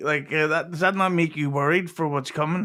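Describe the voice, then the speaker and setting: A man speaks with a fairly high pitch and a fairly even intonation. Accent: Derry. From Northern Ireland, Derry. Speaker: podcast guest. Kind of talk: casual chat.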